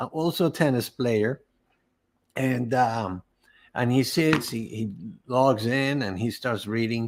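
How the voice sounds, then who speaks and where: A man speaks with a Spanish accent. The recording is very clean, with a silent background. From Venezuela. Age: 60s. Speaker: cancer survivor, entrepreneur. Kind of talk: interview testimony. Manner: halting, many repeated words.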